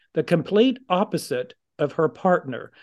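Over a quiet background, a normal speaking voice goes at a fairly slow pace with ordinary pitch variation. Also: man. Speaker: podcast co-host. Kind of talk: casual interview conversation.

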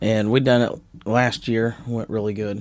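A man with medium pitch and a Southern US accent. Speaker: podcast co-host, pastor. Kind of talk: casual chat.

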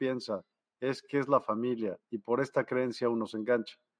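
Flat and monotone in intonation, a man speaks at medium pitch. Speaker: live show host. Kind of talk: live-streamed interview. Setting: video call live stream.

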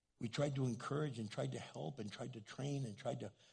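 A man's medium-pitched voice in an American accent, dark and mellow with vocal fry, ordinary pitch variation and a fairly quick pace. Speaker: pastor. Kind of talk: sermon. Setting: church stage with audience. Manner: animated, excitable.

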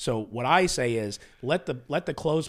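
On a very clean recording with a silent background, a man with a plain, everyday voice and medium pitch speaks at a moderate pace. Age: 50s. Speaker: podcast host. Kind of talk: casual chat. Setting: studio.

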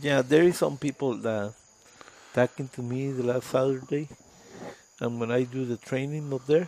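A man with a Spanish accent, medium pitch and a moderate pace. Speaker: pastor on mission trip. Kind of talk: casual chat.

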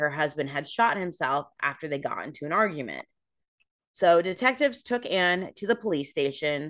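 This is an unremarkable speaking voice with an American accent. The pace is moderate. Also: woman. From California. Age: 30s. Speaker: podcast host. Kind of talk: storytelling; casual chat.

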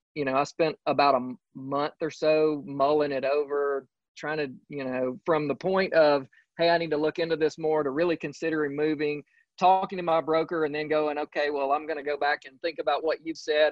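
Fairly quick and fairly high-pitched, a man with a Southern US accent speaks in a flat monotone. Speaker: real estate agent. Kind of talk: casual interview. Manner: halting, many fillers.

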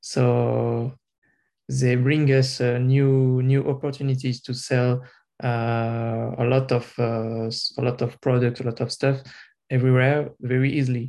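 Fairly slow delivery from a man, medium-pitched, dark and mellow in tone, with monotone, flat intonation. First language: not English. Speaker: software developer, language student. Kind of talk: language class discussion. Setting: video call. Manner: halting.

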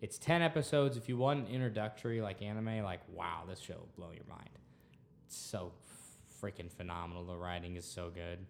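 Here a man with an American accent talks fast-ish at a fairly low pitch, in an unremarkable speaking voice. His intonation is lively and his loudness swings widely. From Texas. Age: 20s. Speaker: student podcast host. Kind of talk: casual chat.

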